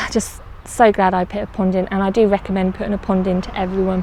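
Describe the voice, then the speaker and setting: A woman with an English accent at a medium pitch, in a dry sound with no echo and light background noise. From England. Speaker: allotment gardener vlogger. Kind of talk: casual vlog walkthrough. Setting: outdoors on allotment. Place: garden. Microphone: phone near.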